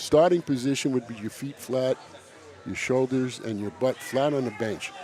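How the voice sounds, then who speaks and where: Over noticeable background noise, a man with a New York accent talks at a moderate pace, medium in pitch with ordinary pitch variation. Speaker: powerlifting meet commentator. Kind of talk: live sports commentary.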